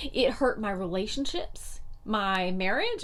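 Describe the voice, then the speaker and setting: A woman with an American accent and very wide pitch swings, in audible room echo. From US South, North Carolina. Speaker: motivational vlogger. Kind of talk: motivational talk to camera. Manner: animated.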